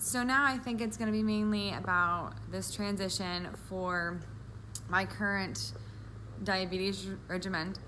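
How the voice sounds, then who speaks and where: Pitch swinging very widely, a woman with a fairly low voice talks at a fairly slow pace, with audible room echo. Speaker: vlogger with diabetes, medical office worker. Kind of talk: personal vlog. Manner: sometimes mumbling.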